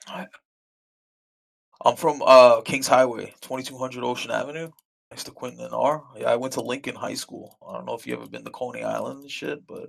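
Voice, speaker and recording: A man with an American accent talks at a fairly quick pace, his loudness swinging widely. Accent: New York accent, disputed. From US Northeast, Brooklyn, New York. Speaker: gamer, druid tank. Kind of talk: casual chat.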